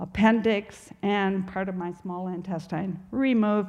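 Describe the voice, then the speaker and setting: Her delivery is monotone and flat. This woman talks at a fairly slow pace. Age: old. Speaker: grandmother sharing recovery testimony. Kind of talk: testimony.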